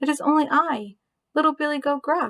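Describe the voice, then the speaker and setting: A woman uses a put-on character voice pitched high. She speaks at a fairly quick pace. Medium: read story.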